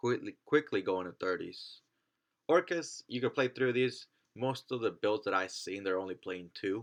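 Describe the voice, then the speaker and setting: A man's normal speaking voice, medium in pitch, with lively intonation and a moderate pace. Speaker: trading card game content creator. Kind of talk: casual talk to camera.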